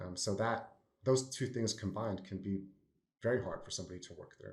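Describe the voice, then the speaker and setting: A somewhat breathy man speaks at a fairly low pitch with fairly even intonation. His loudness swings widely. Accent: American. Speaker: consultant. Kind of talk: podcast panel discussion.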